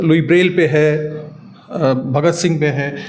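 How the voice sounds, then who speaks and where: Fairly high pitch from a man, fairly even intonation, and noticeable background noise. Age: 60s. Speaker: coin collector. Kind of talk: guided tour explanation.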